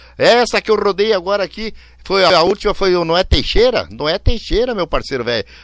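Lively intonation marks this man's high-pitched voice. The sound is dry and close with no echo over a quiet background. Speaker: radio host. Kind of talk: radio show chat with dedications. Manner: animated.

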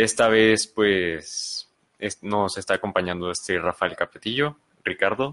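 A man with a fairly low pitch talks at a fairly slow pace with ordinary pitch variation. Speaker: podcast co-host. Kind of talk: casual discussion. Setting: live stream in a room.

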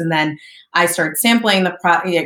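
Fairly low in pitch, a woman with an American accent talks at a fairly quick pace in an ordinary speaking voice. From US Northeast, southern New Jersey. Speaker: entrepreneur and marketing agency founder. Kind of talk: interview.

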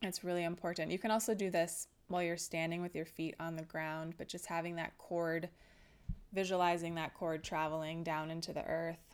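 A woman's fairly low-pitched voice, calm and soothing in tone, with monotone, flat intonation, on a very clean recording with a silent background. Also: fairly quick pace. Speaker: wellness podcast host. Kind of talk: solo educational talk. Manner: calm, soothing.

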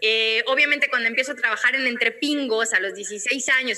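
A woman speaks with a high pitch and a bright, sharp tone. Her intonation is fairly even. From Mexico, Guadalajara. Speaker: radio and TV presenter. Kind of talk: interview conversation.

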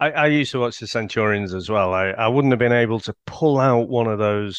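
A man speaks with a British accent in a fairly low pitch. His pace is fairly quick and his pitch varies in an ordinary way. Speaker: podcaster. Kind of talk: casual chat.

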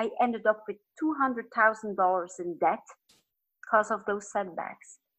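Speaking at a very slow pace, a woman uses a fairly high pitch and ordinary pitch variation, with a Flemish accent. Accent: Flemish Dutch accent in English. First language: Dutch. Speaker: business and life coach. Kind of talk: podcast interview. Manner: occasionally searching for words.

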